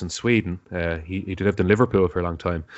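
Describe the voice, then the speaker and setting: A man with a Dublin accent, talking at a very fast pace. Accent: Dublin Irish. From Ireland, Dublin. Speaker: podcaster. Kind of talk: casual chat.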